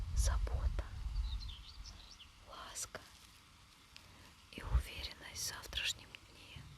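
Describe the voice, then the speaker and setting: A woman whispers at a very slow pace, leaving long, frequent pauses. Noticeable background noise is present. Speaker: ASMR creator. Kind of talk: ASMR affirmation talk. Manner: whispered.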